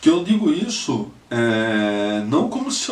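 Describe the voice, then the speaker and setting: A man speaks with a Pernambuco accent. Audible room echo is present. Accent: Northeastern Brazilian (Pernambuco). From Brazil, Northeast (Recife, Pernambuco). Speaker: lawyer, political activist. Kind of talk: personal testimony, video message. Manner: halting, many fillers and repetitions.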